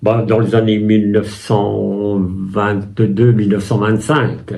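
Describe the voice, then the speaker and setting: Amid noticeable background noise, the speech moves at a very slow pace with very even loudness and fairly even intonation. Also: man, fairly low pitch for a man. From France, Loiret (Chessy near Orléans). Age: 80s+. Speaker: war veteran. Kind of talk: interview testimony. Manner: halting, with many hesitations.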